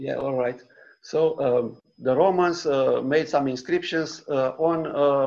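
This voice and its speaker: Ordinary pitch variation marks a man who talks at a very slow pace. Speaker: author. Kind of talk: book presentation. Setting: video call. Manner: halting.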